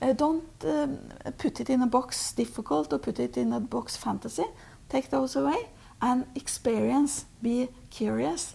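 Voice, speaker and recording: Someone speaks at a fairly slow pace with a Norwegian accent. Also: woman. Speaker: spiritual teacher. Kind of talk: interview. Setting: Oslo. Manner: halting.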